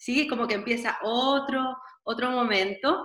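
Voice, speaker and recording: A woman with a Chilean accent talks at a fairly slow pace with fairly even intonation. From Chile (Santiago). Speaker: dancer and dance therapist. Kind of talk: interview conversation. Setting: video call.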